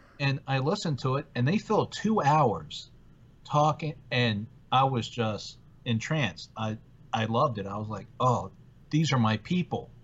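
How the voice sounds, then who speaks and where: A man speaks at a fairly slow pace with a medium pitch, lively intonation and a somewhat breathy sound. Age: 40s. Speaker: podcast co-host. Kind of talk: casual chat.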